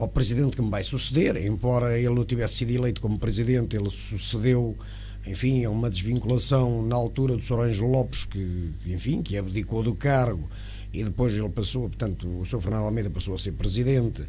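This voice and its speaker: A man with a plain, everyday voice speaks at a fairly quick pace in a fairly low pitch, with ordinary pitch variation and light background noise. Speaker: interview guest. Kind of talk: interview answer. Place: studio. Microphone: studio mic.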